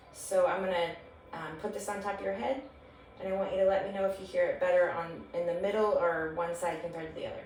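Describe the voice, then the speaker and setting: A woman's medium-pitched voice at a very fast pace, with fairly even intonation, audible room echo and noticeable background noise. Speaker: nurse practitioner. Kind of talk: clinical exam demonstration. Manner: hesitant, many fillers; whispering letters and numbers.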